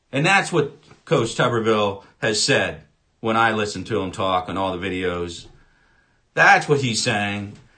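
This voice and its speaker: Audible room echo surrounds a man with a fairly low voice. He speaks at a fairly slow pace with lively intonation. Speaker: political commentator. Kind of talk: political rant. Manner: loud; animated.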